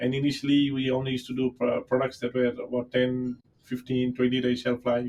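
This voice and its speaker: The speaker is a man at a medium pitch. He moves at a fairly quick pace in a flat monotone. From Fiji, Indian community. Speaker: company founder. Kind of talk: podcast interview. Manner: halting, many fillers.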